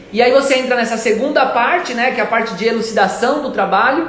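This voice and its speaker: Over noticeable background noise and audible room echo, a man speaks at an extremely high pitch. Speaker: art gallery owner. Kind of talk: live stream talk. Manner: halting.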